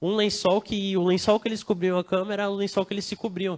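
Recorded very cleanly with a silent background, a man's voice comes across dry and close with no echo. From Brazil, not Bahia. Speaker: preacher. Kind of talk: sermon. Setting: church service, livestreamed. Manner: casual, conversational.

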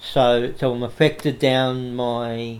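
A man with an Australian accent speaks at a medium pitch and a very slow pace. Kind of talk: interview. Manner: halting, frequent repetitions.

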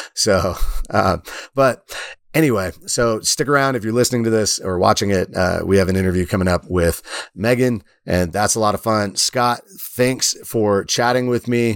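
In a normal speaking voice, a man with fairly low pitch and ordinary pitch variation talks at a moderate pace on a very clean recording with a silent background. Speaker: podcast host and former teacher. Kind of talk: casual chat.

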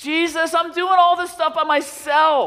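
A put-on character voice, extremely high-pitched and whiny in tone

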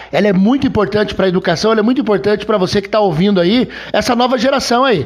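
This man talks at a very fast pace with a high pitch and ordinary pitch variation. Noticeable background noise can be heard. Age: 50s. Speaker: podcast host and history teacher. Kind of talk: casual chat. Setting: guest's home.

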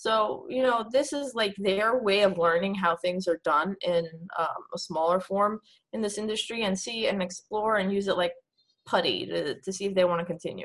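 A woman has an unremarkable speaking voice at medium pitch. She speaks at a moderate pace with ordinary pitch variation. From New York City. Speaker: esports coach. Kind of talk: interview.

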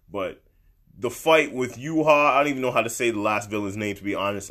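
With an animated, bright and sharp tone, a man speaks at medium pitch with ordinary pitch variation on a very clean recording with a silent background. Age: 20s. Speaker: anime and manga vlogger. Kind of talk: casual monologue. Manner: halting.

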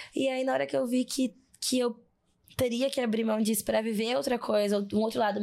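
At a moderate pace, a woman speaks with a fairly high pitch and a dark, mellow tone. The recording is very clean, with nothing in the background. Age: 20s. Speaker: psychologist and diversity specialist. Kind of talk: casual interview conversation. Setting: studio in São Paulo.

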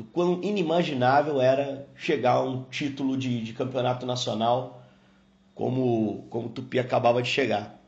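Somewhat breathy, a man's voice holds a medium pitch. Its pitch variation is ordinary. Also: moderate pace. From Brazil, Juiz de Fora (Minas Gerais). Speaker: sports TV commentator. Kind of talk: casual recollection.

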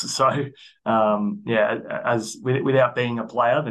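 The speaker has an Australian accent and a monotone, flat intonation. The pace is fairly slow. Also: man. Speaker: athletic performance coach. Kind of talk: casual interview.

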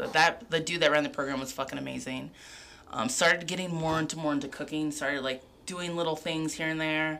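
A woman speaks with an American accent at a fairly quick pace. Her very deep, low pitch holds a fairly even intonation. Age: 30s. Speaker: chef. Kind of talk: casual chat. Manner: rambling.

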